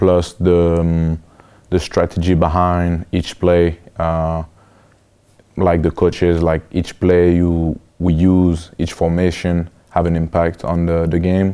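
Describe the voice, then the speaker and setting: A man with a French accent and a very deep, low pitch, a dark, mellow tone, monotone, flat intonation, very even loudness and a very slow pace. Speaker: college football player. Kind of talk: interview. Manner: hesitant, many fillers.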